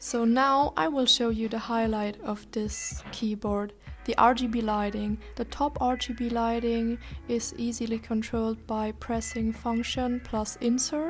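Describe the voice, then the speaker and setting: A woman in a German accent speaks at a fairly slow pace with fairly even intonation. Her pitch is fairly high, and music plays in the background. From Germany. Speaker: tech reviewer. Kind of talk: product review.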